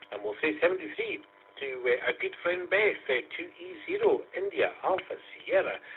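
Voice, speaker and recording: A man with a Scottish accent at a moderate pace. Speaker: amateur radio net controller. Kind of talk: radio net chat. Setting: amateur radio net via online conference.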